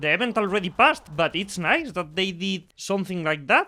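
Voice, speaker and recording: In a Spanish accent, a man talks at a moderate pace in a high pitch, his voice raised and projected. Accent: non-native English, Spanish speaker. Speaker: gaming YouTuber and streamer. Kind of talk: video game introduction video. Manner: halting, repeats words.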